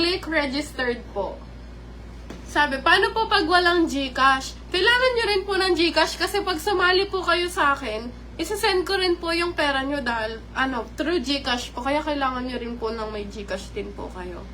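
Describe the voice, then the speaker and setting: Amid noticeable background noise, a woman raises and projects her high-pitched voice with lively intonation. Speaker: live-stream vlogger. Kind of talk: live stream chat with viewers. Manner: polite, uses po constantly.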